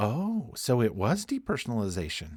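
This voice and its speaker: A man in a put-on character voice at medium pitch and moderate pace, on a very clean recording with a silent background. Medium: read story. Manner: casual, blunt.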